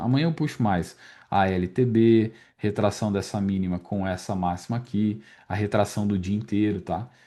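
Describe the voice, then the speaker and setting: Behind the voice, all is quiet. Its tone is dark and mellow. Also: man. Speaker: day trading instructor. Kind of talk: market recap tutorial. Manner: fast; casual, filler-heavy.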